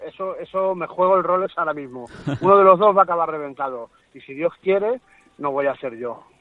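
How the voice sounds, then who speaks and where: A man talks at a fairly quick pace in a high voice for a man. His loudness swings widely, and his intonation is lively. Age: 40s. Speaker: MMA fighter and coach. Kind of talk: interview. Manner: animated.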